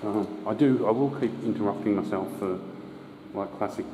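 A man speaks at a moderate pace over light background noise, with audible echo in the room. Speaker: drain explorer guide. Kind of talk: casual walking commentary. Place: tunnel cave. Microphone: phone near.

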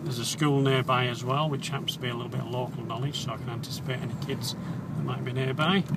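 Very fast speech from a man, dry with no echo, over loud background noise. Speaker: driving instructor. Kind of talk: commentary while driving, tutorial. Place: car.

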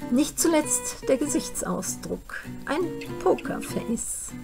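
Clear music plays in the background as a woman speaks at a very slow pace. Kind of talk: literary reading. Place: home room. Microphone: webcam.

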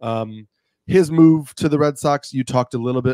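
A man speaks in a dark, mellow tone with ordinary pitch variation. The sound is dry with no echo, and the background is quiet. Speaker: podcast co-host. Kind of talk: commentary. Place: home room. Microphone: studio mic.

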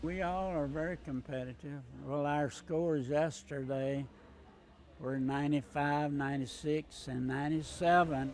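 A man with a Southern US accent speaks at a fairly slow pace with fairly high pitch and fairly even intonation, in a dry sound with no echo and light background noise. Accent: Southern American. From Winston-Salem, North Carolina. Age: 80s+. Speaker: retired golfer. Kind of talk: interview answer. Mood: warm, grateful. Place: gym. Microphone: lapel.

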